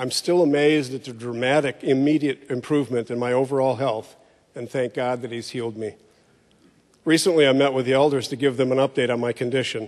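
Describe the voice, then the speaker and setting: In a normal speaking voice, a man talks at a fairly quick pace with fairly even intonation. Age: 60s. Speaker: church member. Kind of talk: testimony.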